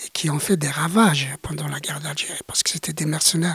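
A man speaking at a fairly slow pace, dry and close with no echo. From Algeria, Greater Kabylia. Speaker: witness of the Algerian war as a child. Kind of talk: interview testimony.

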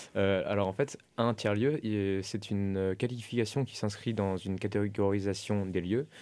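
On a very clean recording with a silent background, a man speaks at a fairly slow pace with a dark, mellow tone, fairly low pitch and fairly even intonation. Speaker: architecture student. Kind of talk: radio interview. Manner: halting.

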